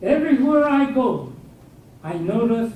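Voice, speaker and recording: With lively intonation and an American accent, the speaker talks at a fairly slow pace amid audible room echo. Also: man. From southern California (El Monte). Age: 80s+. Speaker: guest speaker, war internment survivor and veteran. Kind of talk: lecture. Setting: university lecture hall with audience.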